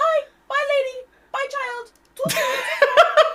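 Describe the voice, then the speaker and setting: In a put-on character voice, a female-sounding speaker talks at a fairly slow pace, squeaky and extremely high in pitch. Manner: feigning poor English, broken grammar.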